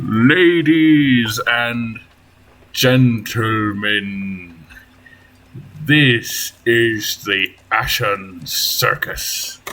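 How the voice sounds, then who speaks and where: A man performs a booming character voice at medium pitch. He drags each line out at a very slow pace. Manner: announcer-like, grand.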